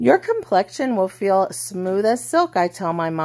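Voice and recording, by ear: A natural voice reads the text aloud.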